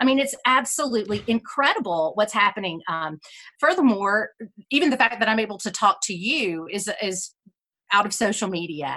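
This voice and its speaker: Speaking at a moderate pace in a Southern US accent, a woman uses a fairly high pitch, lively intonation and a bright, sharp, energetic tone. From South Carolina. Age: 40s. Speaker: musical theater historian. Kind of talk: interview conversation. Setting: video call.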